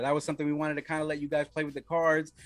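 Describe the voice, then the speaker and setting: On a very clean recording with a silent background, a man with a New York accent speaks at a fairly high pitch. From Wyoming. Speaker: card game developer and stream host. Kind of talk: casual livestream update. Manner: casual, hesitant with many fillers.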